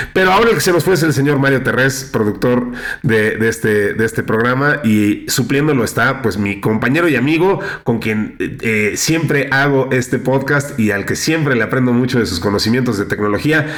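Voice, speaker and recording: Against audible room echo, a man talks at a medium pitch with ordinary pitch variation and very even loudness. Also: moderate pace. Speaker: podcast host. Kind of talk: casual chat. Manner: hesitant with many fillers.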